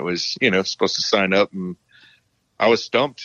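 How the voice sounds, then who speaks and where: A man speaks very fast. His pitch is very deep and low. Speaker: war veteran. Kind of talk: interview testimony. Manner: monotone; calm, matter-of-fact.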